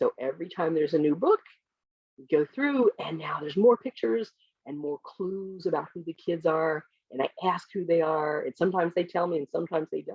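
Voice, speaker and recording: An ordinary speaking voice from a woman with an American accent, fairly low in pitch, at a fairly quick pace, with lively intonation and big swings in loudness. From US Midwest, small village. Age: 60s. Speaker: children's book author. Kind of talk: author Q&A with school classes.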